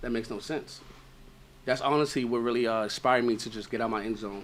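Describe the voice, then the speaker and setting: This man, in a New York accent, talks at a very fast pace and a medium pitch. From Brooklyn, New York (Brownsville). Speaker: author and content creator. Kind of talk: casual interview chat. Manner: animated.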